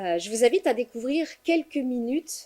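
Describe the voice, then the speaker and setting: A woman with a fairly high pitch, at a moderate pace and with lively intonation. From Quebec. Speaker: foundation representative. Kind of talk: conference speech. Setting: conference with audience.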